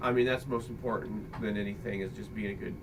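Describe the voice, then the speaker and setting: Amid noticeable background noise and audible room echo, a man talks fairly quickly at a fairly low pitch with fairly even intonation. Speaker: father and video creator. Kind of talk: casual chat. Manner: loud. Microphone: computer microphone, poor quality.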